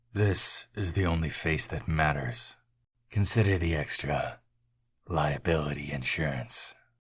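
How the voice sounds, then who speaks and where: A put-on character voice talks at a fairly slow pace on a very clean recording with a silent background. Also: man, very deep, low pitch for a man. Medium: read story. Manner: terse, guarded.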